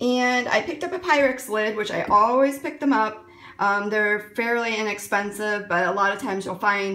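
Ordinary pitch variation colors a woman's speech at a moderate pace. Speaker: thrift haul vlogger. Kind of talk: casual vlog chat. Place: kitchen. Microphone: phone near.

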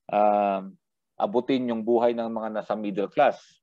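Speaking at a moderate pace, a man uses a medium-pitched voice. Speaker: criminology lecturer. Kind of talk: lecture. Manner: halting, frequent fillers.

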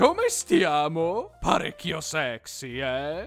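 Over faint background music, someone uses a put-on character voice at a middle pitch and a very slow pace. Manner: flamboyant.

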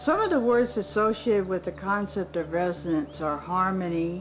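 Clear music plays in the background. Over it, a woman talks at a moderate pace. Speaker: interviewee. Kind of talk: interview answer. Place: garden.

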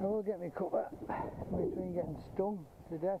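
Speaking at a fairly quick pace, the man has a high pitch. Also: fairly even intonation.

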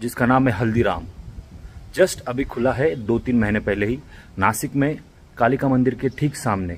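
The voice belongs to a man. He goes along at a fairly slow pace. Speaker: vlogger. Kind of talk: casual vlog chat. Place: street. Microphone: phone near.

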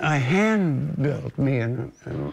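Noticeable background noise runs under the recording. A man speaks at medium pitch. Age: 80s+. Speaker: retired broadcast technician. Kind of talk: interview answer.

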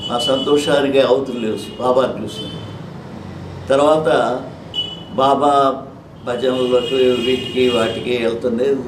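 A man's medium-pitched, monotone, flat delivery amid noticeable background noise and audible room echo. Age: 80s+. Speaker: retired auditor, devotee. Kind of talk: interview, personal testimony. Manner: halting.

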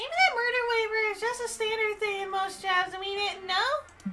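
At a moderate pace, a woman speaks with an extremely high pitch and fairly even intonation over clear background noise. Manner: patient then exasperated.

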